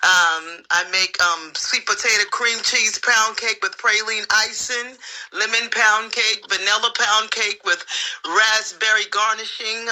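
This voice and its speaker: Speaking fairly slowly, a woman uses an ordinary speaking voice, fairly high in pitch with ordinary pitch variation. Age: 60s. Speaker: dating show contestant. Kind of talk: casual chat.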